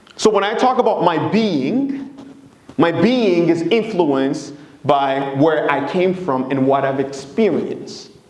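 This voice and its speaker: A man at a high pitch with very wide pitch swings and a fairly slow pace, amid noticeable background noise and audible room echo. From Democratic Republic of Congo. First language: Swahili, Lingala and French. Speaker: presenter, consultant. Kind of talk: presentation talk.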